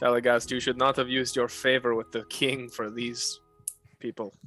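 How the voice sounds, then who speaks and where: A man's rumbling, put-on character voice at medium pitch, monotone and flat, at a moderate pace, with faint music in the background. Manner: disapproving.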